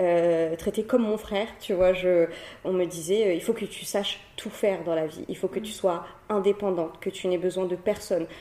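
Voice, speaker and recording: A plain, everyday voice from a woman, medium in pitch, at a moderate pace with fairly even intonation. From Réunion (Cilaos). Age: 20s. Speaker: entrepreneur and social media creator. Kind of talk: interview conversation.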